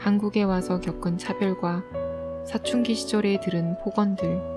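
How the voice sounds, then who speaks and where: Over music in the background, a woman speaks in a calm, soothing tone. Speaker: audiobook reader. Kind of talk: audiobook reading, sleep-aid ASMR.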